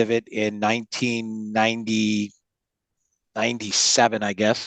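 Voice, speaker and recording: Against a quiet background, a man talks at a medium pitch and a moderate pace in a dry, close sound with no echo. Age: 60s. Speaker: trading educator. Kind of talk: webinar interview. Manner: halting.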